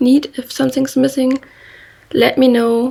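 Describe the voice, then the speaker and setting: A woman speaks in a German accent. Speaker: knitting podcaster. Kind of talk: casual monologue. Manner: halting.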